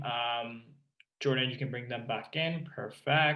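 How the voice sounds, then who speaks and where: A man speaks in a normal speaking voice at a moderate pace, keeping his intonation fairly even. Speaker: meeting chair. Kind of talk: council meeting chairing. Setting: video call.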